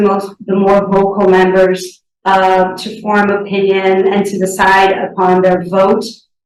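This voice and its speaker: Audible room echo surrounds a woman with a medium pitch speaking at a fairly slow pace. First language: Portuguese. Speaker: sustainability board candidate. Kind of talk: interview. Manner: halting, many fillers.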